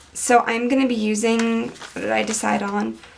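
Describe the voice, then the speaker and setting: A woman speaks over noticeable background noise. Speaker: planner decorating video creator. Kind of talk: tutorial. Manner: casual, thinking aloud.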